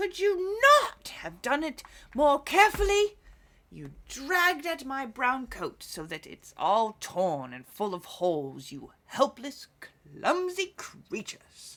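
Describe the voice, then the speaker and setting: In a put-on character voice that sounds female, a woman projects a raised, shrill, high-pitched voice at a fairly slow pace. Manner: angry, complaining.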